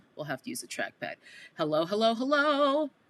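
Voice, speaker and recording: A woman talks in a New York accent with a bright, sharp tone and very wide pitch swings. The recording is very clean, with a silent background. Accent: bridge and tunnel New York accent, non-rhotic. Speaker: live streamer commentator. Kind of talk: casual live stream commentary. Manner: casual, conversational.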